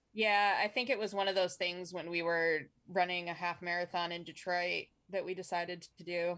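In a Michigan accent, a woman speaks with a fairly low pitch and a bright, sharp tone. Her intonation is monotone and flat, at a moderate pace. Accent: Michigan general American. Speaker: podcast co-host. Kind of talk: casual comedic banter about weird news.

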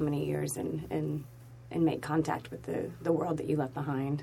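Over noticeable background noise, a woman with an American accent and a very deep, low pitch speaks at a moderate pace. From Oklahoma. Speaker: actress. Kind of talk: casual interview chat.

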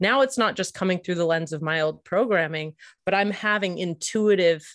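Against a quiet background, a woman uses an ordinary speaking voice with fairly even intonation. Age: 40s. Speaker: marriage and family therapist, author and podcast co-host. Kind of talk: interview conversation.

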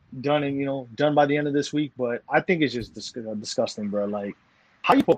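With an American accent, a man uses an ordinary speaking voice at a fairly high pitch, with lively intonation. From New York. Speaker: sports podcast host. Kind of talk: casual chat.

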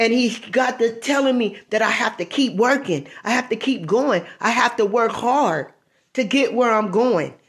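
Her pitch is fairly high for a woman, and her intonation is lively. She speaks at a fairly slow pace. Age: 50s. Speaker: evangelist podcaster. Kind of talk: devotional preaching monologue. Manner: halting.

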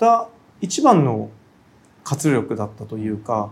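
The man's pitch swings very widely as he speaks. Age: 40s. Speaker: contemporary artist. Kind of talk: interview. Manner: frequent fillers and hesitations.

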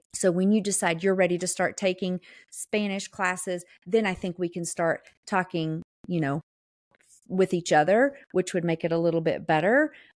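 In a Southern US accent, a woman speaks at a medium pitch and a moderate pace with ordinary pitch variation, the sound dry and close with no echo in a very clean recording with a silent background. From US South. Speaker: podcast co-host. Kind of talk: casual chat, podcast.

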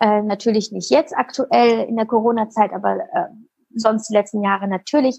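A woman's dark, mellow, fairly high voice with lively intonation. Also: moderate pace. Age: 30s. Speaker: content creator and meditation podcaster. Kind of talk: interview.

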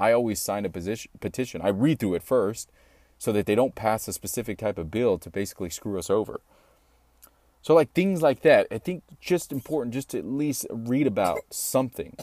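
A man with an American accent speaks at a fairly quick pace, his medium-pitched voice dark and mellow with lively intonation. The recording is very clean, with a silent background and a dry, close sound with no echo. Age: 30s. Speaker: podcast host. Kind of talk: solo podcast monologue. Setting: home recording studio.

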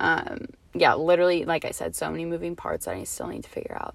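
A woman is speaking. Her pace is moderate. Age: 20s. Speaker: podcast host. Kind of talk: casual solo monologue. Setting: in a parked car. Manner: casual, many filler words.

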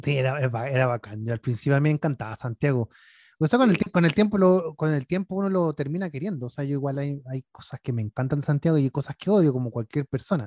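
A man with a fairly high voice talks very fast with lively intonation, recorded very cleanly against a silent background, the sound dry and close with no echo. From northern Chile. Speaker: podcast host. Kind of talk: casual chat.

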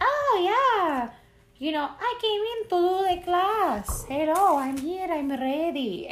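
In a put-on character voice, a female-sounding speaker talks fairly slowly at an extremely high pitch.

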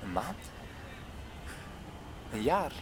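A man performs a put-on character voice with big pitch swings. He goes at a very slow pace. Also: medium pitch for a man.

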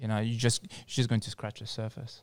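A man with a French accent speaks at a medium pitch in a fairly even intonation. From France, North African heritage. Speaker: psychologist and wellness centre founder. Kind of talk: casual chat. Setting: studio.

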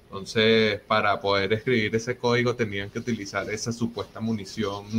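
Monotone, flat intonation at a moderate pace. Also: man. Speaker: Bitcoin community organizer and host. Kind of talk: interview.

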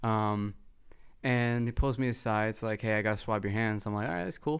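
A man speaks with monotone, flat intonation. The recording is very clean, with a silent background. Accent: American. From Texas. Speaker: podcast host. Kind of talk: casual chat.

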